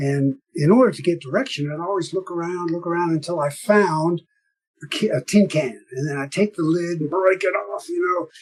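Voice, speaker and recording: A man's high-pitched, animated voice at a moderate pace. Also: ordinary pitch variation. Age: 70s. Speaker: small boat sailor and boat builder. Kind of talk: interview. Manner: animated storytelling.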